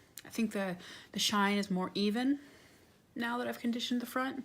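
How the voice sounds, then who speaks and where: A soft-spoken woman with ordinary pitch variation. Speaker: handbag restorer. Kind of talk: ASMR tutorial talk to camera.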